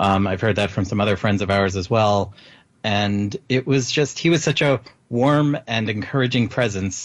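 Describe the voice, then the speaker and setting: Speaking at a moderate pace over a quiet background, a man with a fairly low voice has an ordinary speaking voice, ordinary pitch variation and very even loudness. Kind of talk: casual chat.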